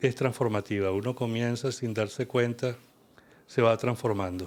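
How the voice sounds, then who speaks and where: A man speaks in a Venezuelan accent at a moderate pace. His medium pitch holds a fairly even intonation. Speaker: kundalini yoga teacher. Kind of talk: interview conversation.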